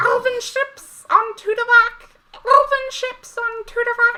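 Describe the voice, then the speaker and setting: In a put-on character voice, squeaky and at an extremely high pitch, the speech comes at a fairly slow pace with monotone, flat intonation. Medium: actual play. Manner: clipped, repetitive fragments.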